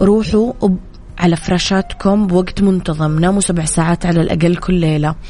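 Amid noticeable background noise, a woman speaks at a moderate pace with very even loudness and fairly even intonation. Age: 20s. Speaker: radio host. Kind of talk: morning radio show talk.

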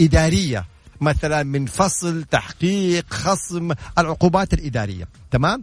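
Very slow, lively male speech at a fairly high pitch. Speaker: lawyer and legal consultant. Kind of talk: legal Q&A broadcast. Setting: home.

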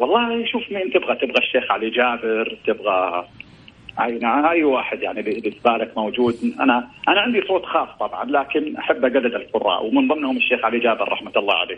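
Noticeable background noise surrounds the speaker. He is a man who talks fairly quickly. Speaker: caller, volunteer muezzin. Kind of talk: casual chat.

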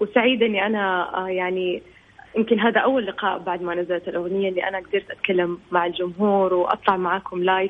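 Her medium-pitched voice stays monotone and flat as this woman talks at a fairly quick pace. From Saudi Arabia. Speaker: singer. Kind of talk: radio interview.

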